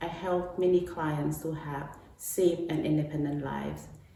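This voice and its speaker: In a Cambodian accent, a woman with a very deep, low pitch speaks at a fairly slow pace with fairly even intonation, amid noticeable background noise and audible room echo. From Cambodia, Battambang. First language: Khmer. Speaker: domestic violence advocate. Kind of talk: prepared remarks.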